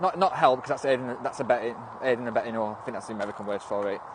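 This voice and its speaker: A man speaks with a northwest English accent. Noticeable background noise is audible. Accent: northern English, northwest. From northwest England. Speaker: livestreamer. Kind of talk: casual livestream chat. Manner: animated, halting.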